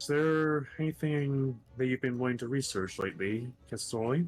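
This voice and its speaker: A soft-spoken man in a put-on character voice at medium pitch, with music in the background. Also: moderate pace. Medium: actual play. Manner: polite, gentle, soft-spoken.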